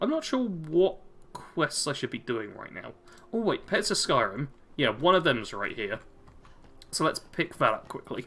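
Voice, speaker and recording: A man's bright, sharp, fairly high-pitched voice with vocal fry, very wide pitch swings, big swings in loudness, a moderate pace and long, frequent pauses. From Ireland. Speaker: gaming streamer. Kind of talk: live stream chat while gaming. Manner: casual, chatty.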